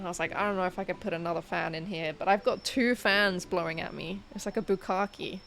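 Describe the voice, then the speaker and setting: A woman with a British accent, medium pitch and fairly even intonation, talking at a very fast pace with hardly any pauses. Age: 20s. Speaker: livestreamer. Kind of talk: casual chat. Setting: bedroom livestream.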